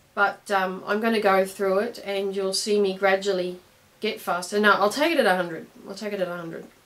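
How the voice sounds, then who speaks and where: With an Australian accent, a woman speaks with fairly even intonation. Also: medium pitch for a woman, fairly quick pace. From Australia, Brisbane. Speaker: clarinet teacher. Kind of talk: tutorial. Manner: casual, hesitant with fillers.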